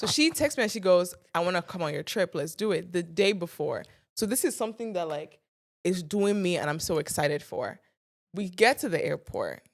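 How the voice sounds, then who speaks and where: Speaking with an American accent, a woman talks at a fairly quick pace in a medium pitch. Her tone is animated and her intonation lively, in a very clean recording with a silent background. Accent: sounds American. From Nigeria. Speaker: content creator. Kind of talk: casual chat, storytelling. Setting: studio.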